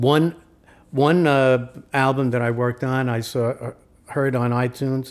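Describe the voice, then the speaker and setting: Speaking fairly slowly in a flat monotone, a man of medium pitch with a New York accent is heard on a very clean recording with a silent background. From New York, Brooklyn/Queens. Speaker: recording engineer and producer. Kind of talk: casual interview. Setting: at his home.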